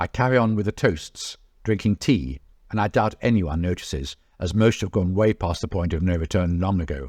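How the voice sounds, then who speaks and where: On a very clean recording with a silent background, a man with a British accent speaks with lively intonation. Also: dry, close sound with no echo. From England. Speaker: travel blogger and author. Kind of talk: reading aloud from own memoir.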